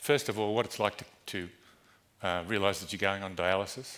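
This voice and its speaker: A man with a very deep, low pitch. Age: 60s. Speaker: dialysis patient giving a conference talk. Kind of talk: conference speech. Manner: halting.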